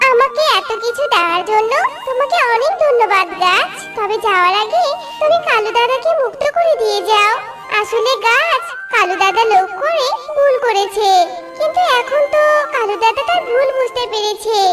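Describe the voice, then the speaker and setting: At a moderate pace and with clear music behind her, a woman performs a cartoonish character voice at an extremely high pitch. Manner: gentle, polite.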